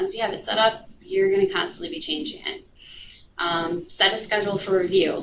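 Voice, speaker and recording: Audible room echo surrounds a woman who talks at a fairly quick pace with ordinary pitch variation. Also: medium pitch for a woman. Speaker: digital marketing specialist. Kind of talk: lecture. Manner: many filler ums.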